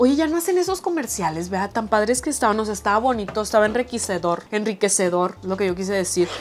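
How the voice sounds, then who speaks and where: A woman with a Mexican accent speaks in an animated tone. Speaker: YouTuber. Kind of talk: casual chat.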